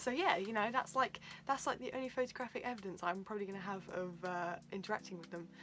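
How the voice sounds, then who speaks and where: A woman with a British accent speaks very fast with ordinary pitch variation. Her loudness swings widely. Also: medium pitch for a woman. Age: 20s. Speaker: YouTuber. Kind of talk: storytime vlog. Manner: casual, lots of fillers.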